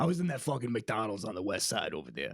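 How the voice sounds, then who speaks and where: A man's raspy put-on character voice in a New York accent, medium in pitch, with very wide pitch swings and a very fast pace. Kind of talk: comic overacting. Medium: solo performance. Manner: brash, profane.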